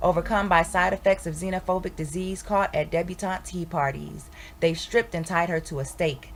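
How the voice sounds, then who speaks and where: A woman speaks with vocal fry at a moderate pace. Her pitch sits fairly low for a woman. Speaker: spoken word poet. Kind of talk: poetry reading.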